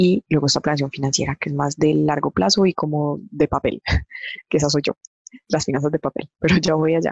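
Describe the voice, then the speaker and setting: At a fairly quick pace, a woman speaks with a very deep, low pitch in a Medellín accent. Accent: Medellín (paisa). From Colombia, Medellín. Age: 30s. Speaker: corporate finance manager. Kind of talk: interview.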